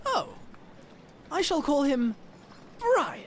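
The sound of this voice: A cartoonish character voice, high in pitch with very wide pitch swings, plays over clear background noise.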